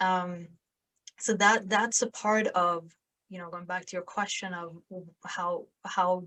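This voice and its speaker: Against a quiet background, a woman with a Swedish accent speaks fairly slowly at a medium pitch, her tone bright and sharp and her intonation fairly even. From southern Sweden, small town. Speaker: podcast host and sales influencer. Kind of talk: interview conversation.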